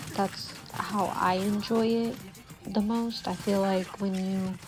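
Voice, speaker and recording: Somewhat breathy speech with fairly even intonation. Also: woman. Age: 20s. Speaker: YouTuber. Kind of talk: casual vlog chat. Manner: whispery, soft-spoken.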